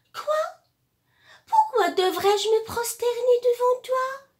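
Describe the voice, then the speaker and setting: A woman in a put-on character voice talks fairly slowly, her pitch extremely high. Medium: read story.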